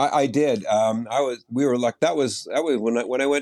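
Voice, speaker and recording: A man with an unremarkable speaking voice talks at a medium pitch and a moderate pace. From Nova Scotia, Canada. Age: 60s. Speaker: retired weather presenter. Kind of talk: interview.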